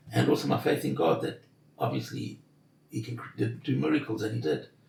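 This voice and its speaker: A man's fairly low voice with very wide pitch swings, a fairly quick pace, and noticeable background noise. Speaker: intensive care survivor. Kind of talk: interview.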